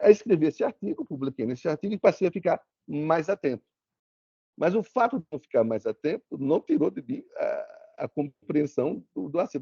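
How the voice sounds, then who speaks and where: A man speaks fairly quickly with a dark, mellow tone. His pitch swings very widely. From Brazil, Sergipe interior (Propriá). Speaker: lawyer, guest lecturer. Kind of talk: lecture. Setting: video call. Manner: repetitive false starts.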